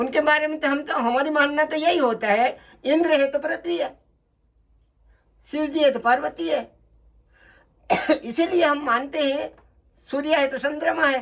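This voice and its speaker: This man speaks at an extremely high pitch. He leaves long, frequent pauses. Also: fairly even intonation. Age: 80s+. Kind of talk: interview answer, spiritual advice.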